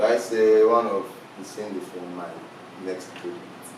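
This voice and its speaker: Audible room echo and noticeable background noise surround the speaker. A man talks at a moderate pace with fairly even intonation. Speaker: musician. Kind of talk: interview.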